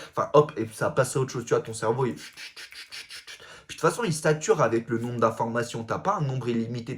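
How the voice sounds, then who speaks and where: This is a man with a medium-pitched voice. He talks at a fairly quick pace. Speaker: comedic self-help influencer. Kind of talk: casual vlog monologue. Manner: loud, fast talking; casual slangy, vulgar speech.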